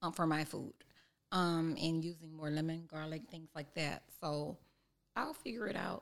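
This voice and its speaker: A woman's plain, everyday voice, fairly low in pitch, fairly slow, and fairly even in intonation. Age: 40s. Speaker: chef and cookbook author. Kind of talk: casual interview.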